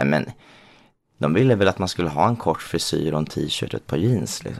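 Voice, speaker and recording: The man's pitch is very deep and low. He speaks at a fairly quick pace. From Småland, Sweden. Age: 30s. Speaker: drag queen and designer. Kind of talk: interview.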